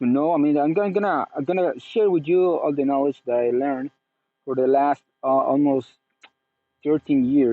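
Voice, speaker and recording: Long, frequent pauses mark this man's moderate pace. His voice is fairly high, with ordinary pitch variation. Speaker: spiritual teacher. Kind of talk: personal testimony monologue. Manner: halting, many fillers and restarts.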